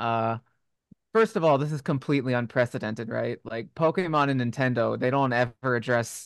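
At a fairly quick pace, a man with an ordinary speaking voice and medium pitch talks with ordinary pitch variation, the sound dry and close with no echo against a quiet background. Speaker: podcast host. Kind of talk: casual chat.

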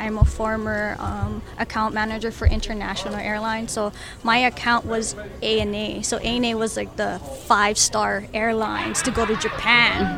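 A woman talks at an even, moderate speed. Music can be heard behind her. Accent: Philippine. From Philippines. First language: Ilocano. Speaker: guest's partner. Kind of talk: casual interview. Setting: recorded at a marketplace.

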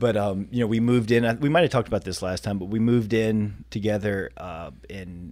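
At a moderate pace, a man speaks in a normal speaking voice with a fairly low pitch and ordinary pitch variation, on a very clean recording with a silent background. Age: late 30s. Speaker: fitness competitor. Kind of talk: casual chat.

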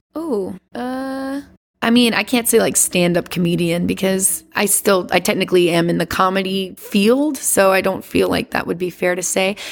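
A woman's normal speaking voice at medium pitch, with an American accent, lively intonation and a moderate pace. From US South, Louisiana. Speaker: singer and performer. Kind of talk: casual chat.

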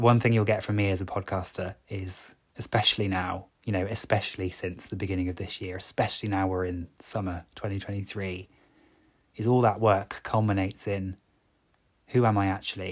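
A man speaks with a fairly low pitch and a somewhat breathy voice, his intonation monotone and flat. The recording is very clean with a silent background. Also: fairly quick pace. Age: 30s. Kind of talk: solo podcast monologue. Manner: halting, with filler words and repetitions.

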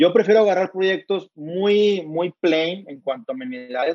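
The sound is dry and close, with no echo. A man speaks with a high pitch. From Mexico, Monterrey. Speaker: entrepreneur and author. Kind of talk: interview.

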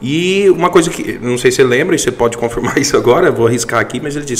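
A man's very fast, fairly high-pitched speech with lively intonation over noticeable background noise. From Goiás, Brazil. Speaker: accounting firm partner. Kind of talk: casual interview chat.

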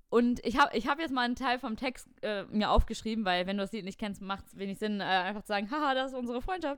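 A woman talks at a very fast pace with hardly any pauses, her pitch fairly high. Her intonation shows ordinary pitch variation, and her loudness swings widely. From Germany, near Cologne. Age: 20s. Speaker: podcast co-host. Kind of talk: casual chat.

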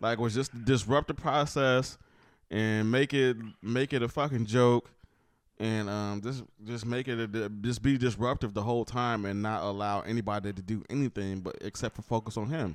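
At a moderate pace, a man with an ordinary speaking voice talks at a medium pitch. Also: fairly even intonation. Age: 40s. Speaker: podcast co-host. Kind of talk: casual chat.

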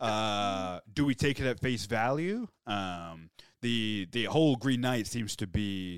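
Recorded very cleanly with a silent background and a dry, close sound with no echo, a man with an American accent and a fairly low pitch speaks fairly slowly with ordinary pitch variation. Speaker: podcast co-host. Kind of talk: casual chat.

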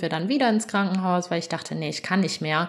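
A woman is speaking. Her pitch is fairly low. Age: 20s. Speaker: new mother sharing birth story. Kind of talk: interview testimony. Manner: hesitant with many fillers.

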